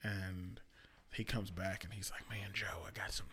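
A man's fairly low-pitched, a normal speaking voice at a fairly quick pace. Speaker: podcast host. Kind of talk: casual chat.

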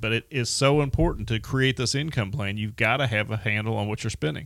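A man with an unremarkable speaking voice talks at a moderate pace and medium pitch with ordinary pitch variation. The recording is very clean, with a silent background. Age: 50s. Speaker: financial advisor, podcast host. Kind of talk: casual chat.

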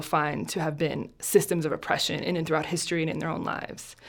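A woman with an American accent, fairly low in pitch with vocal fry, at a fairly quick pace in a very clean recording with a silent background. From New Jersey. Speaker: compassion training nonprofit founder. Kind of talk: interview. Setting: studio.

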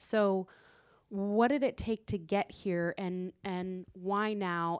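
A woman's medium-pitched voice with ordinary pitch variation, an unremarkable speaking voice, on a very clean recording with a silent background. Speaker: audience member asking questions. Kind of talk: audience question. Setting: stage with audience.

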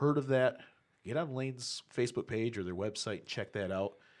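Pitch varies in an ordinary way in what is an ordinary speaking voice. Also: man. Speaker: drag racing podcast co-host. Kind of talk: casual chat.

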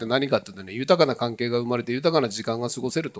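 Speaking at a very fast pace, a man talks in a medium pitch. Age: 60s. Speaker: regional revitalization promoter. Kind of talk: talk session presentation. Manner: animated.

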